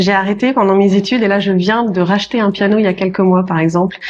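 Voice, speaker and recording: Her voice is medium in pitch, with monotone, flat intonation. The woman talks at a fairly quick pace. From France, Paris region. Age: 40s. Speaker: notary. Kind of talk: podcast interview. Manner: hesitant, many fillers.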